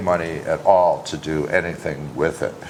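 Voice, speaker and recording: There is noticeable background noise as a man talks. He speaks at a moderate pace in an American accent. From Wisconsin, US Midwest. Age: 60s. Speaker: singer-songwriter. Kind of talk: casual interview chat.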